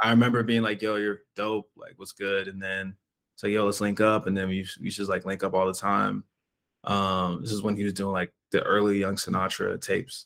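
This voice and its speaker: A man speaks fairly quickly in a fairly low pitch with monotone, flat intonation. The recording is very clean, with a silent background. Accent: American. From Washington DC area, Maryland. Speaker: independent musician. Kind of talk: casual interview.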